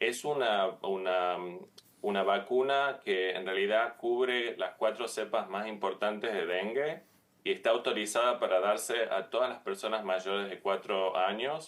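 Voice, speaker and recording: A man with a Tucumán accent talks at a fairly slow pace and fairly low pitch, with ordinary pitch variation. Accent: Tucumán Argentine. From Argentina, Tucumán. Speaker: infectious disease physician, professor. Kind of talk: TV interview. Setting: video call.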